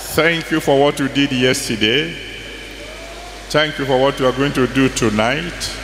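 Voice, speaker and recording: A man talks at a fairly slow pace. Audible room echo and light background noise accompany him. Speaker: pastor leading prayer. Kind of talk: prayer. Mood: solemn, reverent. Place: hall. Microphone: handheld.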